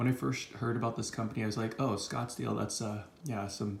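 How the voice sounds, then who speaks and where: A man speaks at a medium pitch while noticeable background noise runs underneath. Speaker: silver stacker. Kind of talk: casual talk to camera. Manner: monotone.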